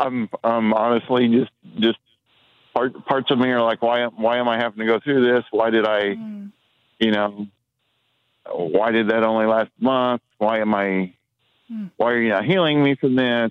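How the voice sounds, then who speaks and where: A man with an American accent talks at a medium pitch and moderate pace, with long, frequent pauses, fairly even intonation and very even loudness. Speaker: caller, former hospital chaplain. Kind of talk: call-in testimony. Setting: phone call. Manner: halting.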